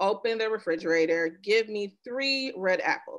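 Little noise is heard behind the voice. Delivery moves at a fairly slow pace. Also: woman. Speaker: presenter. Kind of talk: webinar presentation. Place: home room. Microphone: video call.

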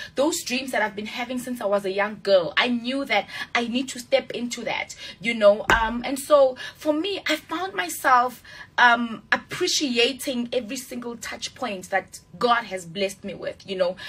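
A woman at high pitch and moderate pace, with lively intonation and big swings in loudness. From South Africa, Mamelodi (Pretoria). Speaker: actress. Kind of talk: interview. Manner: halting. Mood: earnest, reflective. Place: studio. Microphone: studio mic.

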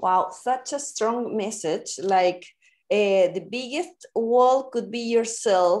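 A woman speaks at a very slow pace with a fairly high pitch. Her pitch variation is ordinary, and the background is quiet. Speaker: podcast host. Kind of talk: casual interview. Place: home room. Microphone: video call.

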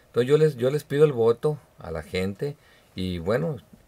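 A man's fairly quick speech with very wide pitch swings. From Mexico, Sinaloa (Badiraguato); Sinaloa, Mexico. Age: 50s. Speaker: political candidate; candidate. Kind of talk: radio interview. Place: studio. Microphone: studio mic.

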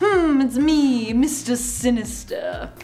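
Over light background noise, a female-sounding voice puts on a character voice pitched high. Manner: sinister, menacing.

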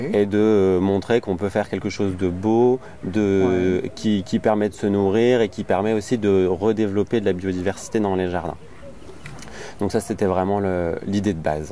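A man talks at a moderate pace in a fairly low, monotone voice with flat intonation, the sound dry with no echo and light noise behind it. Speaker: interviewee. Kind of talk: interview answer. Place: garden.

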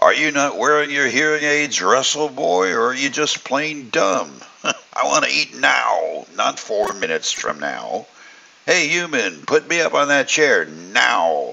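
A man bellows in a put-on character voice. His pace is fairly slow. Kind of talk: sarcastic, commanding. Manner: bellowing, demanding, scolding.

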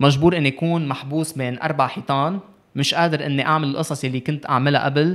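A man speaks fairly quickly in a fairly high voice. His intonation is fairly even, and the background is quiet. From Lebanon. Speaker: youth ambassador and sports advocate; podcast guest. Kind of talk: casual interview. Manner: code-switching with English. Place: studio. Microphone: studio mic.

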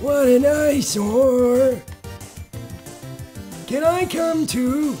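Over clear background noise and clear music in the background, someone uses a put-on character voice at a very slow pace. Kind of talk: gameplay commentary. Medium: solo performance. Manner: timid, whining. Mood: meek old man.

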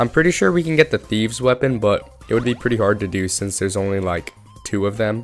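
A man's medium-pitched voice at a very fast pace, ordinary pitch variation, music playing in the background. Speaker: gaming YouTuber. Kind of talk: casual gameplay commentary.

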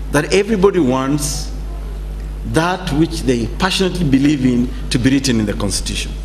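Over light background noise, a man with a Kenyan accent talks at a fairly quick pace. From Kenya, Turkana. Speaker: constitutional law expert. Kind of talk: panel talk. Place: hall. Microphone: podium.

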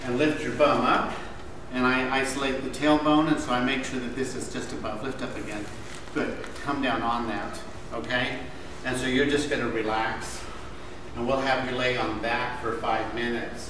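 With noticeable background noise and audible room echo, a man speaks at a moderate pace in a flat monotone. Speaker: manual therapy instructor. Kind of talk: lecture demonstration. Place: classroom. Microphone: camera far.

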